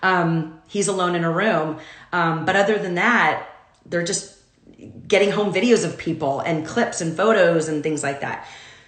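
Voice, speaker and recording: Over noticeable background noise and audible room echo, a woman talks at a moderate pace. Her voice is fairly low, with fairly even intonation. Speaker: commercial talent agent. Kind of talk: casual livestream talk. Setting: home, Instagram Live video. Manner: loud.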